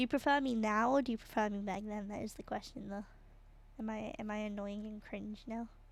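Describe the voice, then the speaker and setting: Fairly quick speech from a woman with a British accent. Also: fairly high pitch for a woman, fairly even intonation. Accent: British, very obvious on some words. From Britain. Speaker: streamer. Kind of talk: casual chat while drawing on livestream. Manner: relaxed, hesitant with fillers.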